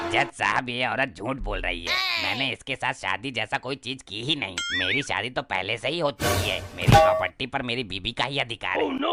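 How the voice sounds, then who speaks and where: In a cartoonish character voice, a man talks at a fairly quick pace with hardly any pauses. His pitch is medium, and faint music sits in the background. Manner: dreamy, rustic.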